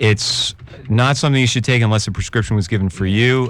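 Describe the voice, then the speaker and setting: An American-accented man at a very fast pace, with ordinary pitch variation. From New York. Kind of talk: clinical, explanatory.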